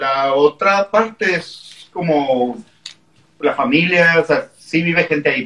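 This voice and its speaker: Very slow speech comes from a man. His pitch is high, with ordinary pitch variation. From Mexicali, Mexico. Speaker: punk band member. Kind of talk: casual chat. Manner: loud. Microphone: far from the mic.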